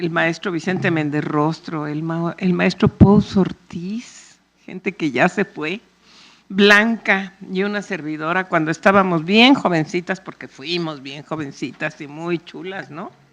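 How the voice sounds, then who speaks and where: A woman with a Mexico City accent speaks at a fairly low pitch with ordinary pitch variation. Her loudness swings widely. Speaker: panel moderator. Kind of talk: public talk. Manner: animated.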